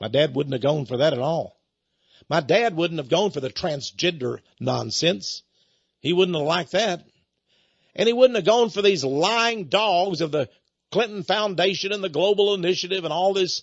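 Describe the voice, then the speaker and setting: A man with a Texan accent speaks in a high pitch at a moderate pace. His tone is animated and his intonation lively. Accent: Texan American. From Texas. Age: 70s. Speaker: radio host and preacher. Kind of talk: radio monologue.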